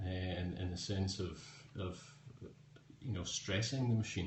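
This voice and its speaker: A man with a Scottish accent speaks at a very deep, low pitch, somewhat breathy and with fairly even intonation, against audible room echo. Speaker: tech blogger and writer. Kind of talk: live-stream tech review answering viewer questions. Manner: casual with frequent fillers.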